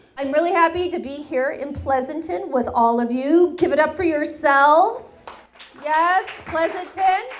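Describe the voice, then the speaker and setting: With audible room echo and noticeable background noise, a woman speaks at a high pitch and fairly slow pace with ordinary pitch variation. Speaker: stand-up comedian. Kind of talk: stand-up. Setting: stage with audience.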